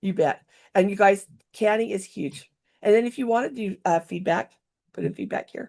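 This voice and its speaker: A woman of medium pitch with an animated tone and vocal fry, at a moderate pace with long, frequent pauses, big swings in loudness and ordinary pitch variation, against a quiet background. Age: 60s. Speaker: workshop instructor for travel software. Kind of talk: tutorial.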